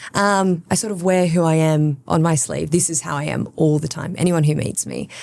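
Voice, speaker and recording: A woman speaks in an Australian accent at a very deep, low pitch. Her pace is moderate. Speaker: social media producer. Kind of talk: podcast interview. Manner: bubbly, chatty.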